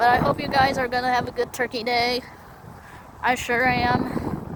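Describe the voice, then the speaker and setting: A woman talks at a moderate pace in a high, monotone, flat voice, with noticeable background noise behind her. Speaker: siren enthusiast vlogger. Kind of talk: casual vlog narration. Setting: outdoors. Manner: halting.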